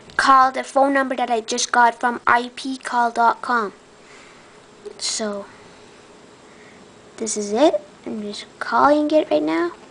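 Very slow and broken by long, frequent pauses, a woman's high voice carries lively intonation. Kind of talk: tutorial. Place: home room. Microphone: phone near.

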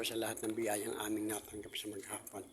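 A man talks at a fairly quick pace. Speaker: reflexologist and vlogger. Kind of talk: casual vlog talk; spoken prayer.

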